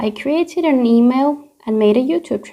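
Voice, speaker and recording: With a Finnish accent, the speaker has a dark, mellow tone and ordinary pitch variation. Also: woman. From Finland. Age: 20s. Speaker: youtuber. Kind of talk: casual Q&A.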